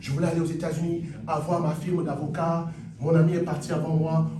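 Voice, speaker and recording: There is noticeable background noise and audible room echo. A man with a fairly high pitch talks at a moderate pace. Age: 60s. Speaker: pastor. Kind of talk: sermon.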